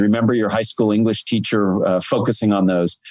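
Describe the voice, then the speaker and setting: A man's fairly low voice with an energetic tone. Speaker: author and public speaking expert. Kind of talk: interview. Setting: video call. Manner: energetic, varied volume and rate.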